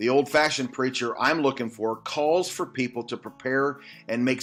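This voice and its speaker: A man with a medium-pitched voice talks while music plays behind him. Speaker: Baptist pastor. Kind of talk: short Bible study devotional.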